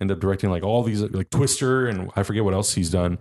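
A man talks at a fairly quick pace with ordinary pitch variation. He has a plain, everyday voice, and the background is quiet. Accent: American. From US, San Diego, California. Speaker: online video and streaming host. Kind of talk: casual chat.

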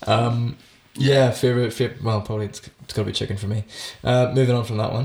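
Somewhat breathy man at medium pitch, very fast pace, monotone, flat intonation. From Northern Ireland. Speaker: actor and musician. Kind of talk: casual chat.

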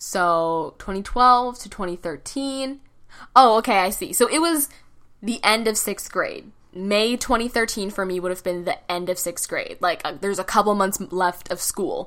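A woman with an ordinary speaking voice talks at a medium pitch and a moderate pace, with lively intonation. The recording is very clean, with a silent background. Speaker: podcaster and YouTuber. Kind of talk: casual solo podcast monologue, storytelling. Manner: rambling, casual, chatty.

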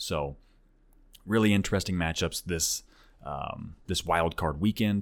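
Speaking at a moderate pace with long, frequent pauses, a man with a very deep, low pitch comes through a very clean recording with a silent background. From Oklahoma (Tulsa area). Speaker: podcast host on sports simulation league. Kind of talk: casual solo podcast commentary. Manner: frequent repetitions and filler words.

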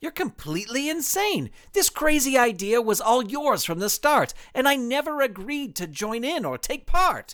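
A put-on character voice, high in pitch, at a moderate pace. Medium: audio drama. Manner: rhythmic rhyming refusals.

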